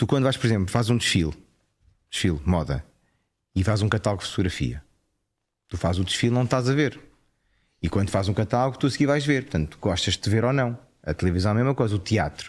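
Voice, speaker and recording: A man with a fairly low pitch and a European Portuguese accent speaks very fast, with lively intonation, very even loudness and long, frequent pauses. The recording is very clean with a silent background. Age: 40s. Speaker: actor and TV presenter. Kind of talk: casual chat.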